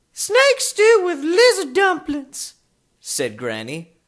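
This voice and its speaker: A put-on character voice is pitched extremely high. It moves at a very slow pace. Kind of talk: children's audiobook reading.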